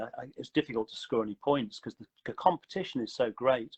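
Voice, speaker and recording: A man talks at a fairly quick pace and a medium pitch in a plain, everyday voice. His intonation is lively, and the sound is dry and close with no echo. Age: 60s. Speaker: running company founder. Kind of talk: interview.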